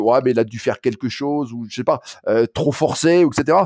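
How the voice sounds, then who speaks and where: A man in a Saint-Étienne accent at a moderate pace, dry and close with no echo, on a very clean recording with a silent background. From France, Saint-Étienne. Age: 60s. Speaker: running coach. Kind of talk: interview. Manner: halting, many hesitations and repetitions.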